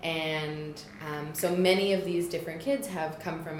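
Someone with a Canadian accent speaks at a fairly slow pace with fairly even intonation, amid noticeable background noise and audible room echo. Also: woman. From Toronto, Canada. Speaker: camp director at nonprofit. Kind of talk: casual interview chat.

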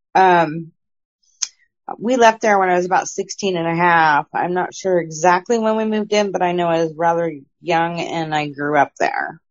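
A woman with a normal speaking voice, fairly low pitch and a moderate pace. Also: ordinary pitch variation. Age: 40s. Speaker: paranormal experiencer. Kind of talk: casual interview, personal stories.

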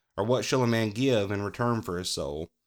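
On a very clean recording with a silent background and a dry, close sound with no echo, a man with a Southern US accent speaks at a moderate pace and fairly low pitch with ordinary pitch variation. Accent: US South. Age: 30s. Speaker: podcast host. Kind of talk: devotional talk. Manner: halting.

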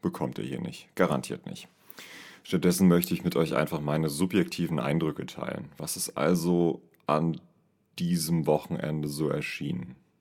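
The speech moves at a moderate pace and carries vocal fry. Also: man, very deep, low pitch for a man, fairly even intonation. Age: 30s. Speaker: podcast host and amateur singer. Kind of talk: casual solo monologue.

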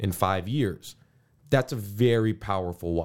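A man with an American accent has an ordinary speaking voice and lively intonation at a moderate pace. The recording is very clean, with a silent background. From US, Cleveland then Houston, Texas. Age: 30s. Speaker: doctor. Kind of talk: interview.

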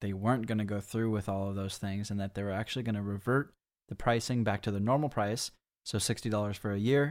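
An unremarkable speaking voice from a man, fairly low in pitch and fairly even in intonation, on a very clean recording with a silent background. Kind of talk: casual chat.

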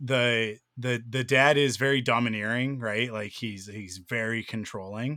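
The man's tone is bright and sharp, at medium pitch. He speaks at a fairly slow pace with fairly even intonation. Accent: Canadian. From Pacific Northwest, Canada (Vancouver area). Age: 30s. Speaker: podcast host. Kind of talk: casual chat; scripted outro.

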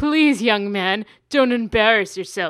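A female-sounding voice speaks at a fairly slow pace in a put-on character voice, with fairly high pitch for a woman. The recording is very clean, with a silent background. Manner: condescending, pompous.

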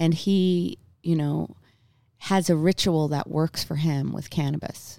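In a Newfoundland accent, a woman with fairly low pitch speaks very slowly and with ordinary pitch variation on a very clean recording with a silent background. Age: 40s. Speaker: singer-songwriter. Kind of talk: casual chat.

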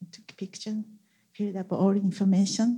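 A woman speaks with a Japanese accent in a dark, mellow tone. Her voice is somewhat breathy. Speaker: church member sharing testimony. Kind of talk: testimony.

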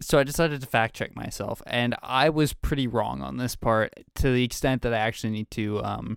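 A man with a Canadian accent and a plain, everyday voice, medium pitch, ordinary pitch variation, fairly quick pace, dry, close sound with no echo, very clean recording and silent background. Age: 20s. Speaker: podcast co-host. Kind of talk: casual chat.

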